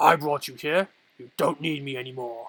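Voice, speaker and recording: A man puts on a character voice with a fairly high pitch. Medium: read story.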